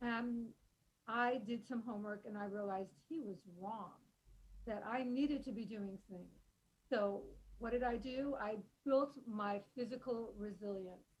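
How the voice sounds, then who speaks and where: A woman with a fairly high, somewhat breathy voice speaks at a fairly slow pace. Her intonation is fairly even, broken by long, frequent pauses. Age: 70s. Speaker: author and thought leader on aging. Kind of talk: podcast interview. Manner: conversational with many fillers.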